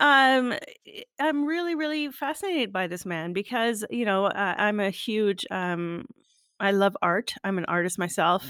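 In a very clean recording with a silent background, a woman with a Canadian accent talks fairly slowly at a medium pitch, using very wide pitch swings. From Canada. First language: French. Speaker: podcast host. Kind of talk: casual interview.

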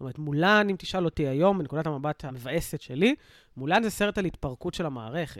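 With an unremarkable speaking voice, a man talks at a fairly quick pace in a fairly high pitch, his intonation lively and his loudness swinging widely, all dry and close with no echo in a very clean recording with a silent background. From Israel, south (Sderot). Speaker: reservist soldier and social worker. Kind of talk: casual chat.

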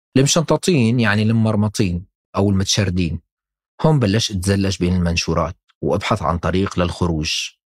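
An unremarkable speaking voice comes from a man with a fairly low pitch, ordinary pitch variation and very even loudness at a moderate pace. The sound is dry and close with no echo, on a very clean recording with a silent background. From Syria, Damascus. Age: 30s. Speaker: podcast narrator and producer. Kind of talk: scripted personal narration.

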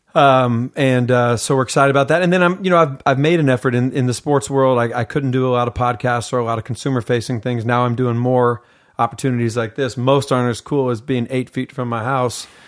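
Speaking at a very fast pace, a man with an American accent keeps a medium pitch and fairly even intonation. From US Pacific Northwest (Seattle, Washington). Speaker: mental conditioning coach. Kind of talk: casual interview. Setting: in person at host's home.

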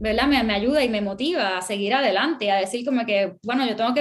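A woman speaks at a fairly quick pace with a Puerto Rican accent. Her pitch varies in an ordinary way, and there is noticeable background noise. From Puerto Rico. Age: 30s. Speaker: artist and illustrator. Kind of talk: interview.

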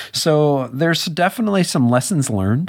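A man with a plain, everyday voice at a moderate pace. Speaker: podcast host. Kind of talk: podcast interview and tech news. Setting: studio.

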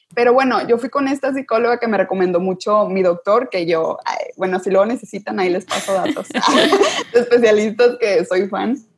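A woman's unremarkable speaking voice, fairly high in pitch, with lively intonation at a moderate pace. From northern Mexico (Sabinas, Coahuila). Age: 20s. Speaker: university student. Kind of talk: casual chat.

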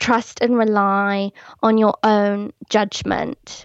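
A woman's voice with an English accent, dry and close with no echo, over a quiet background. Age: 30s. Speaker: blogger and podcaster. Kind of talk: casual interview chat.

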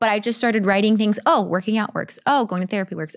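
With an ordinary speaking voice, a woman of medium pitch and ordinary pitch variation is heard on a very clean recording with a silent background. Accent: General American. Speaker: actress and producer. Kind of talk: casual interview chat. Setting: in person studio.

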